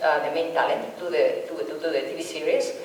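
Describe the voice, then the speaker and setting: A woman speaks at a fairly quick pace with a Spanish accent. There is noticeable background noise and audible room echo. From Spain. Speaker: filmmaker and university professor. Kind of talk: pitch at a networking event. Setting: festival networking event with audience. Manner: halting, many fillers and repetitions.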